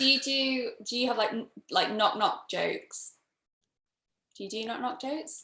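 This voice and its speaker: A woman with a strong northern English accent speaks at a moderate pace, with long, frequent pauses. Her high voice is bright and sharp, with lively intonation. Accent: strong British northern. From northern England. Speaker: panel host. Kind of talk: casual chat.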